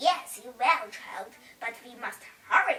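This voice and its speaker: A woman uses a put-on character voice. She speaks at a fairly slow pace. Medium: read story. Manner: warm, motherly.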